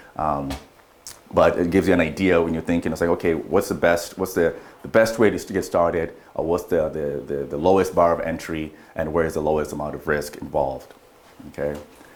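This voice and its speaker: A man's very deep, low voice with a non-native accent and fairly even intonation. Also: fairly quick pace. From Kenya. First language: not English. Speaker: real estate investor and broker. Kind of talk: training presentation. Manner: halting, searches for words.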